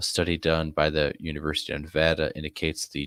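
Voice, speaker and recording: The sound is dry and close with no echo as a man speaks at a very deep, low pitch. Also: very clean recording, silent background. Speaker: live-stream host. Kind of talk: reading aloud on a live stream. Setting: live stream. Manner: halting, stumbling over words.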